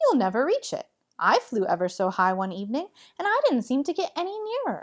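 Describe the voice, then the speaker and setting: A woman's put-on character voice, high in pitch, at a fairly quick pace. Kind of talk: bedtime story. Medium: read story.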